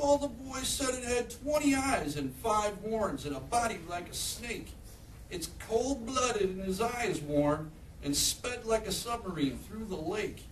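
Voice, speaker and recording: A man's put-on character voice, high-pitched and sing-song, at a moderate pace over clear background noise. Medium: read story. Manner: sing-song, rhyming.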